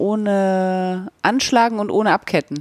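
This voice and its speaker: The sound of this woman's medium-pitched voice is dry and close, with no echo. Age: 40s. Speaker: podcast host, yarn dyer. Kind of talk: casual chat.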